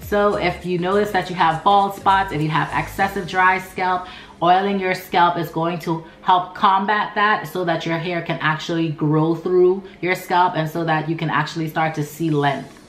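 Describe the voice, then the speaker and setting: Over noticeable background noise, a woman with a fairly low pitch speaks with hardly any pauses. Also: fairly even intonation, moderate pace. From Turks and Caicos Islands. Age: 20s. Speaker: natural hair YouTuber. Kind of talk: casual talk to camera.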